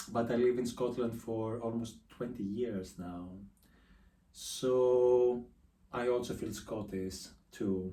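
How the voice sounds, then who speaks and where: In a room with audible echo, a man with a Greek accent talks at a very slow pace in a dark, mellow tone, with fairly even intonation and long, frequent pauses. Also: medium pitch for a man. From Greece. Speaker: artist. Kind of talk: casual interview. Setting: his art studio.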